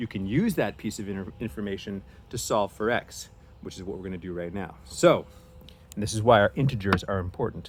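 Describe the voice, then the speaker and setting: A man with an ordinary speaking voice talks at a fairly low pitch. He keeps a fairly quick pace with ordinary pitch variation. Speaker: teacher. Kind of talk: lecture.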